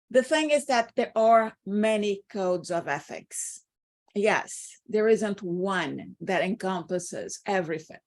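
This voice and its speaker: A Brazilian accent at a very slow pace with lively intonation, on a very clean recording with a silent background. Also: woman, medium pitch for a woman. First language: Portuguese. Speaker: interpreter and instructor. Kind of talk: lecture.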